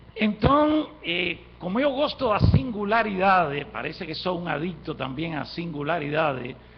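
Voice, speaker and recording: A man speaks at a fairly slow pace in a high voice with very wide pitch swings and hardly any pauses. Audible room echo is present. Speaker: university professor. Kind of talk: conference lecture.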